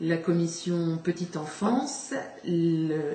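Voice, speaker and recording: A woman speaks at a fairly low pitch, with noticeable background noise and audible room echo. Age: 60s. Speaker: local election candidate. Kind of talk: campaign statement. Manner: halting, many hesitations.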